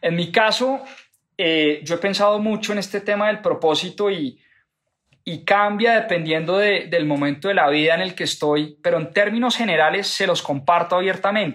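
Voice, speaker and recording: With a high pitch, this man speaks at a moderate pace and ordinary pitch variation. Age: 30s. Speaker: podcast host, finance educator. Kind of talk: book club talk, monologue.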